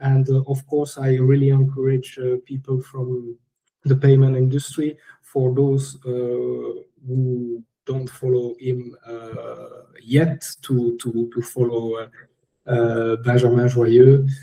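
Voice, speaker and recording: With a French accent, the speaker talks at a very slow pace in a dark, mellow, somewhat breathy voice with monotone, flat intonation. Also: man, medium pitch for a man. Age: 30s. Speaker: finance director. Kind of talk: interview podcast. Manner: halting, many fillers.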